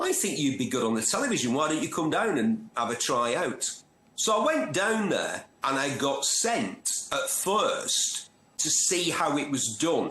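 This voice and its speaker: A man with a Manchester accent speaks at a moderate pace, his loudness very even but his pitch swinging very widely. Audible room echo and noticeable background noise surround him. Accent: gritty North Manchester. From northern England, North Manchester. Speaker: motoring journalist and TV presenter. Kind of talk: interview. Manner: animated storytelling.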